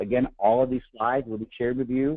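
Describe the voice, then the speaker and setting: A medium-pitched man's voice with an American accent. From Boston area. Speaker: healthcare policy advisor and radio host. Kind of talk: webinar presentation. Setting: webinar call. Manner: fast; hesitant fillers.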